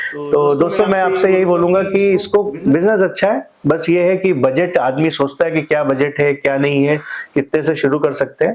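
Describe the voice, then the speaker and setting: Hardly any pauses amid noticeable background noise. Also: man, fairly high pitch for a man, ordinary pitch variation, very even loudness. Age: 30s. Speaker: manufacturing business owner and channel host. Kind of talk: podcast interview.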